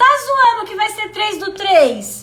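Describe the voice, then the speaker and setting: A woman's raised, projected voice has a bright, sharp tone. It sounds animated, with very wide pitch swings. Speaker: self-development coach. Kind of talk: live stream talk.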